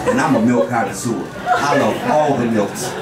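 Someone with an American accent speaks over loud background noise. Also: man. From Portland, Oregon. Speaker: stand-up comedian and host. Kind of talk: stand-up comedy: profane, crowd-baiting storytelling, setup-punchline jokes. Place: stage.

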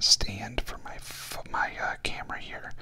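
A man is speaking. He whispers. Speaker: vlogger. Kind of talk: casual vlog chat. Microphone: studio mic.

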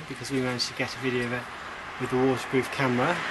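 A man speaks over noticeable background noise. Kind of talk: casual vlog chat. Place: street. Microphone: phone near.

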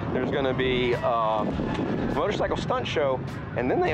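Over clear music in the background, a man talks at a fairly quick pace with ordinary pitch variation. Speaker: car show vlogger. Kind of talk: casual vlog chat. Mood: relaxed, enthusiastic. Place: street. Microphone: phone near.

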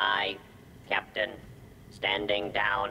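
Clear background noise under a put-on character voice. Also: man, fairly low pitch for a man. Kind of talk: game dialogue. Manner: obedient, stiff, replying to a captain.

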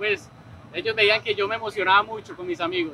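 A man at a fairly quick pace with ordinary pitch variation, a dry sound with no echo, and noticeable background noise. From Colombia. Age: 20s. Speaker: esports player. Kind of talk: interview testimony. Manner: hesitant, many fillers. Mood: happy, emotional, grateful. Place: hall.

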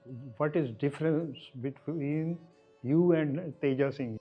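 A man with fairly even intonation, music playing in the background. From Pakistani Punjab, Gujranwala. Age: 80s+. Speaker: eyewitness to history. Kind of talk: oral history interview.

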